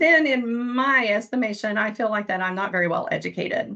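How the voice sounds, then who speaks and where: Her bright, sharp tone carries an Eastern Kentucky accent as a woman talks at a moderate pace in a medium pitch with ordinary pitch variation. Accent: Eastern Kentucky (self-described hick accent). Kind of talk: panel presentation. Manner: occasional word-finding stumbles after stroke.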